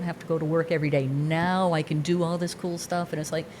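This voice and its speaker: Against noticeable background noise, a woman with a fairly low pitch talks at a very fast pace. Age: 60s. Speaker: skydiver. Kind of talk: casual chat. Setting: studio.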